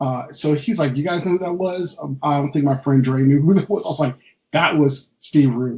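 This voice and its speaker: A man speaks at a moderate pace with a West Coast US accent, his voice somewhat breathy. His pitch is fairly high, with ordinary pitch variation. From California, US. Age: 40s. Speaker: comic book artist. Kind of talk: interview conversation. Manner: halting, many fillers.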